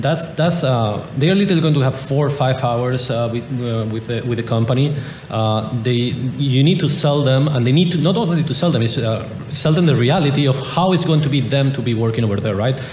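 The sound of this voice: A man's medium-pitched, slightly mellow voice at a fairly quick pace, with ordinary pitch variation and audible room echo.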